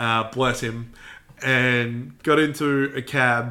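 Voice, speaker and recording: In an Australian accent, a man at medium pitch talks in a flat monotone with a bright, sharp tone. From Melbourne, Australia. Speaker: podcast co-host. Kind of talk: casual chat.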